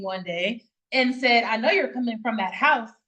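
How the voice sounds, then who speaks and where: This woman has a high-pitched voice. She speaks with an American accent. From US South. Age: 30s. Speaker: foster care advocate. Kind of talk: interview.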